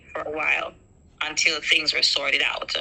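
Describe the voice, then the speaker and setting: A woman with an American accent, amid noticeable background noise. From Jamaica. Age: 50s. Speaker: school teacher telling her story. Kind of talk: personal testimony in an interview. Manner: hesitant, many ums.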